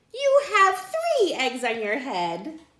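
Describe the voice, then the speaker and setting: The voice is a put-on character voice. It sounds squeaky. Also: woman, extremely high pitch for a woman. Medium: read story. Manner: cheerful, matter-of-fact.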